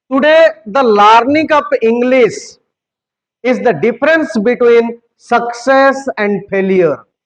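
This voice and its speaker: Speaking at a very slow pace, a man with an Indian accent has an extremely high pitch and ordinary pitch variation. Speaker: English teacher. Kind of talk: motivational speech. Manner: animated.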